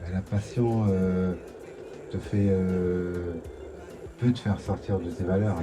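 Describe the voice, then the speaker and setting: A man's very deep, low voice at a very slow pace, with fairly even intonation and noticeable background noise. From Ivory Coast. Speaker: reggae artist. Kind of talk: interview answer. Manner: calm, thoughtful.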